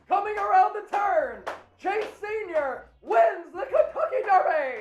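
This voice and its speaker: Loud shouting in a put-on character voice, extremely high in pitch and delivered at a fairly slow pace. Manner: loud, yelled call.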